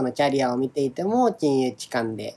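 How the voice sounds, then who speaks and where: With ordinary pitch variation, a man's voice sits at a medium pitch. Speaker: podcast co-host, software engineer and former government official. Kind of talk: casual chat. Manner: drawn-out sentence endings.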